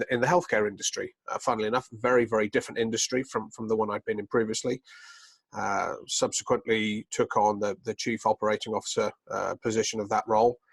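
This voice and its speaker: With monotone, flat intonation, a man speaks at a fairly quick pace in a dry, close sound with no echo. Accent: slight British. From United Kingdom. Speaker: business executive. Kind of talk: interview. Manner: hesitant, many fillers.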